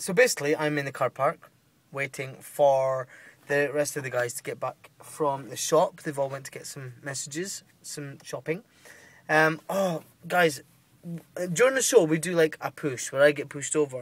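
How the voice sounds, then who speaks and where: At a moderate pace, a man talks in a somewhat breathy voice with ordinary pitch variation and big swings in loudness, the sound dry with no echo. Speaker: touring actor, vlogger. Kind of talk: casual vlog chat. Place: car. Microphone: phone near.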